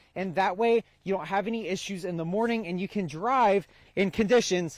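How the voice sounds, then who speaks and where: A man with an American accent speaks with ordinary pitch variation in a very clean recording with a silent background and a dry, close sound with no echo. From South Carolina. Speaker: broadcast meteorologist. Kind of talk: on-location weather reporter package. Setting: outdoors in snow.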